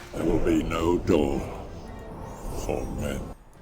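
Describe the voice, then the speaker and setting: Clear background noise sits under a man doing a put-on character voice. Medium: video game. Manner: cold, menacing.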